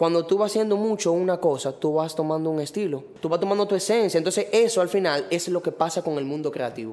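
Speaking at a very fast pace with hardly any pauses, a man uses a high pitch with ordinary pitch variation. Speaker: graphic designer and letterer. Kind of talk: casual chat.

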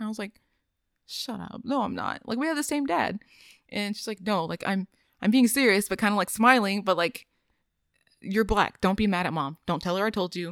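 At a fairly quick pace broken by long, frequent pauses, a woman speaks at a medium pitch with ordinary pitch variation, in a very clean recording with a silent background and a dry, close sound free of echo. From East Texas (Longview area). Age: 20s. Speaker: podcast guest. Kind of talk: casual chat.

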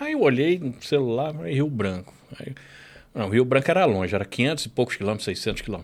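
A man's plain, everyday voice, medium in pitch, with lively intonation and a fairly quick pace. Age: 40s. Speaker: podcast co-host. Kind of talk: casual chat. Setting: studio.

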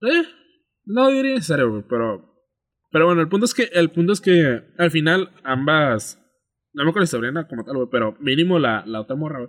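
A man at a moderate pace, fairly high in pitch with very wide pitch swings, on a very clean recording with a silent background. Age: 20s. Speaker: podcast co-host and editor. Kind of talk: casual chat.

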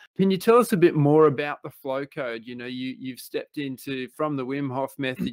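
In an Australian accent, a man with a medium pitch speaks at a fairly quick pace, the sound dry and close with no echo. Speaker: podcast host. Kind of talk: interview.

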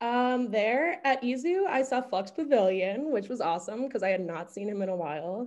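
Speaking at a moderate pace with hardly any pauses, a woman with an American accent uses a fairly high pitch and very wide pitch swings. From US Northeast, Westchester County, New York. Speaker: music writer and shop owner. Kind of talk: casual interview chat.

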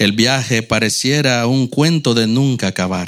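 An ordinary speaking voice with lively intonation moves at a fairly slow pace on a very clean recording with a silent background. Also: man. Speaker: church member reading poems. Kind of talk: reading aloud.

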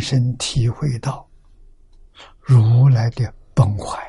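A man speaks in a somewhat breathy voice. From rural China. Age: 80s+. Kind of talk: sutra lecture. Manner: frequent filler 'ah' interjections.

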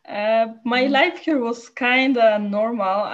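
A woman speaks with a Polish accent. Her pitch is high, with ordinary pitch variation. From Poland. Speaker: photojournalist. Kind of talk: interview. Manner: halting.

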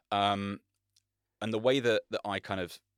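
In an ordinary speaking voice, a man with a fairly low pitch talks at a moderate pace with fairly even intonation, captured in a very clean recording with a silent background and a dry, close sound with no echo. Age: 30s. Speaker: men's coach. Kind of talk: casual chat.

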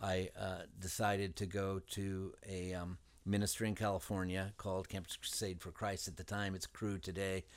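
In a very clean recording with a silent background, a man with a very deep, low voice speaks at a moderate pace with fairly even intonation. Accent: American. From southern Indiana. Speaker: city mayor. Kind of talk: interview.

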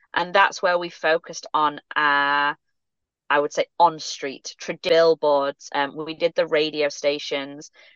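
Monotone, flat intonation comes through with a dry, close sound, no echo and a quiet background. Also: woman, very deep, low pitch for a woman, fairly slow pace. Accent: English. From England. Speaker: sports club marketing executive. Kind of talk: interview.

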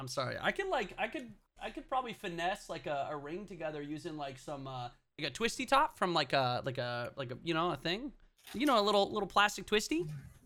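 Very fast and high-pitched, a man's bright, sharp voice moves through very wide pitch swings. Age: 20s. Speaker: podcast co-host. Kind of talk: casual chat.

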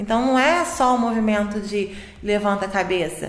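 Noticeable background noise together with audible room echo. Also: woman. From Niterói, Brazil. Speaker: physiotherapist. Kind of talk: casual health podcast interview.

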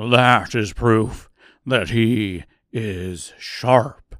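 A man's growling, put-on character voice at medium pitch, on a very clean recording with a silent background. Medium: audio drama.

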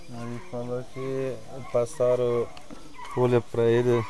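The speech is very slow, with monotone, flat intonation. Audible room echo and noticeable background noise fill the recording. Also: man. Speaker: shaman. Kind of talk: testimony. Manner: halting.

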